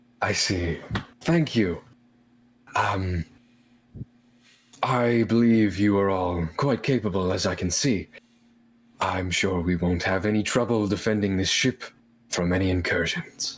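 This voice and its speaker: In a put-on character voice, a man talks at a fairly slow pace with long, frequent pauses, a fairly low pitch, ordinary pitch variation and very even loudness. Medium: actual play. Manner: formal, polite.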